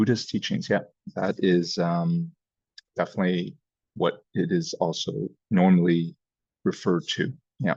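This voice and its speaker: A man talking at a fairly slow pace, with long, frequent pauses and very even loudness. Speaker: Buddhism and yoga teacher. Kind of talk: lecture.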